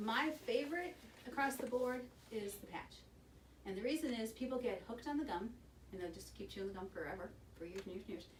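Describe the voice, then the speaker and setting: A woman's fairly high, animated voice at a very fast pace broken by long, frequent pauses, with audible room echo and noticeable background noise. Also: lively intonation. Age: 60s. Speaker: hospital smoking cessation counselor. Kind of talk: informal presentation to a group. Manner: conversational, animated.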